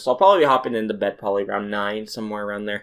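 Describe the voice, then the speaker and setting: A man's fairly low voice at a very fast pace. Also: very clean recording, silent background. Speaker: youtuber podcaster. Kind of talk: casual solo podcast.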